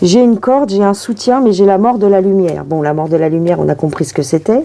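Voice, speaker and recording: Speaking at a very fast pace, a woman uses a strong Parisian accent and lively intonation at a medium pitch. Noticeable background noise is present. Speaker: tarot reader. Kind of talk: tarot reading video. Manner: casual, chatty.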